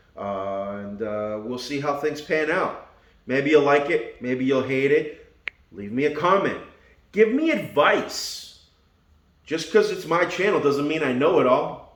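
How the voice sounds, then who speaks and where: Audible room echo surrounds a man speaking fairly slowly at a fairly high pitch with lively intonation. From Argentina, Buenos Aires. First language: Spanish. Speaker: car YouTuber. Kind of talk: casual vlog walkaround. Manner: casual, joking.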